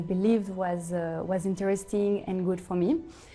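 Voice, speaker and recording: There is music in the background as a woman speaks at a medium pitch with fairly even intonation. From Switzerland, Geneva. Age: 20s. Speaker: hospitality consultant. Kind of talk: interview testimony. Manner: halting, many fillers.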